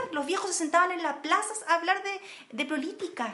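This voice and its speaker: The voice is raised and projected. It belongs to a woman. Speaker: podcast co-host. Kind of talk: casual political discussion.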